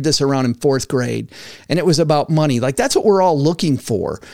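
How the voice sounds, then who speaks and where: An animated man with an American accent speaks at a fairly high pitch with ordinary pitch variation. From West Michigan. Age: 50s. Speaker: podcast host, former financial advisor. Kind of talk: casual interview.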